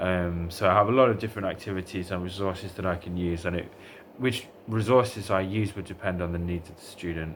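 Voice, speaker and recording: A man with a very deep, low pitch and an English Midlands accent, at a very fast pace, with fairly even intonation and big swings in loudness. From England, Derbyshire. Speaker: language tutor. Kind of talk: self-introduction video. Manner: hesitant, many fillers.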